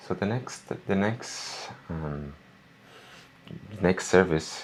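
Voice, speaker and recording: Very slow pace with ordinary pitch variation. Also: man, very deep, low pitch for a man. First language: not English. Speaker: podcast co-host. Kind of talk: casual chat.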